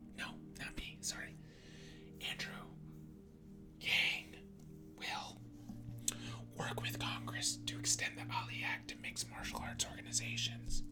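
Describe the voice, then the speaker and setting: Whispered words come at a very slow pace in a soothing tone. Music plays in the background. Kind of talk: ASMR reading of political policy text. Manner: soft-spoken, soothing.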